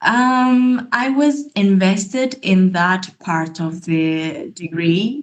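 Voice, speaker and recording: Somewhat breathy, a woman speaks at a very slow pace, her pitch swinging very widely. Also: medium pitch for a woman. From Ethiopia. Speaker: master's student in conservation biology. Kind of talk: presentation in online meeting. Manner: hesitant, many fillers.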